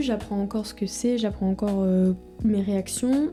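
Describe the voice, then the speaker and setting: Music plays in the background as a woman talks with fairly even intonation. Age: 20s. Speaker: vlogger. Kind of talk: personal video diary. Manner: halting, many fillers.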